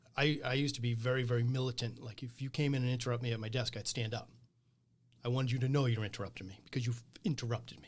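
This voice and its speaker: Talking at a very fast pace, a man with an American accent sounds somewhat breathy, keeping fairly even intonation while his loudness swings widely. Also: medium pitch for a man. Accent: Boston accent, comes out at times. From Boston area, New England. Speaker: small business owner. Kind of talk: casual interview conversation.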